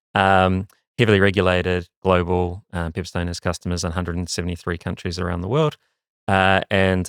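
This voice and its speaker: A speaker with a New Zealand accent talks at a fairly quick pace in a monotone, flat delivery. The sound is dry and close with no echo, on a very clean recording with a silent background. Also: man. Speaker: marketing executive. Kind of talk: interview. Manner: halting, many fillers.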